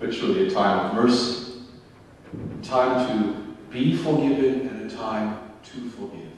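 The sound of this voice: A man speaks at a fairly slow pace and a fairly low pitch, with ordinary pitch variation. Strong room echo surrounds his voice.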